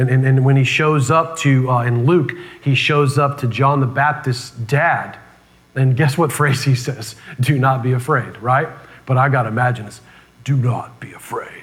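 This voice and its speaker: A man talks at a medium pitch and a moderate pace. The room echo is audible. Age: 30s. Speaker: pastor. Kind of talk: sermon. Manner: animated.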